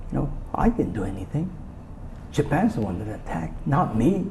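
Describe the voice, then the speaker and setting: A man with an American accent talks at a moderate pace, his pitch swinging very widely, over noticeable background noise. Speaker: interviewee, Japanese American recalling wartime childhood. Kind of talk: interview answer. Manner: soft-spoken, calm.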